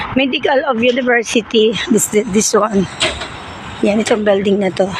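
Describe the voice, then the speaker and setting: Moderate pace, with noticeable background noise. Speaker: vlogger. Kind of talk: walking vlog. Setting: outdoors, walking in snow.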